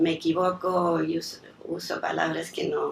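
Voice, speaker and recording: A woman talks at a very slow pace while noticeable background noise is heard. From raised abroad as diplomat's daughter (Chile, Yugoslavia, New York, Mexico). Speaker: lawyer, daughter of honoree. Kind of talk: speech of thanks at tribute. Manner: hesitant, with fillers.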